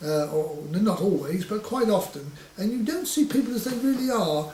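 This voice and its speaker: A man with a Suffolk accent talks at a moderate pace, his pitch high with very wide swings. Audible room echo and noticeable background noise surround him. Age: 60s. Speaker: butcher. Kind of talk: oral history interview. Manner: halting with frequent stammers and fillers.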